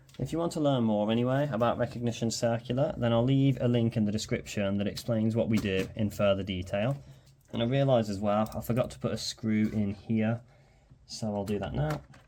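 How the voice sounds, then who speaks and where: In a Birmingham accent, a man talks fairly quickly at a medium pitch with ordinary pitch variation and a dark, mellow tone. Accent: Birmingham (Brummie). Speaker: electronics repair youtuber. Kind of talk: tutorial. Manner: casual, hesitant with frequent ums.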